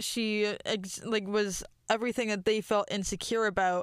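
A normal speaking voice moves at a moderate pace over a very clean recording with a silent background. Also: woman. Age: 20s. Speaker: podcast co-host. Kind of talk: casual chat. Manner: laughs a lot.

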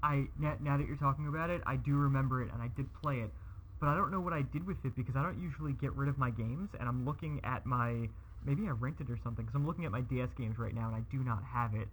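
Talking at a very fast pace, a man with a medium pitch sounds somewhat breathy, his intonation lively. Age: 30s. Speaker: childhood friend of the host. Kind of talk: casual chat.

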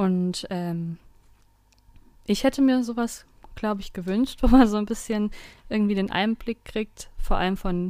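This woman talks at a moderate pace. Her medium-pitched voice keeps a fairly even intonation. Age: 20s. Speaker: law student, district councillor. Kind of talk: casual chat.

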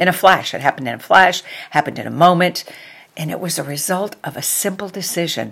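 Animated in tone, the speaker uses an American accent with ordinary pitch variation. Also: woman. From New York. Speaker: podcast host. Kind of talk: inspirational monologue.

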